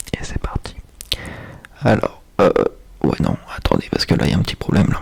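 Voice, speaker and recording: Against noticeable background noise, a man is whispering at a fairly quick pace. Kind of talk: casual talk to camera.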